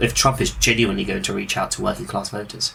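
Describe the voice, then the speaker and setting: A man with a British accent talks at a very fast pace in a medium pitch. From Britain. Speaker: podcast host. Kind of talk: casual political discussion.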